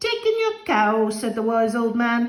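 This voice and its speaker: A woman puts on a character voice pitched fairly high. She keeps a moderate pace. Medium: read story.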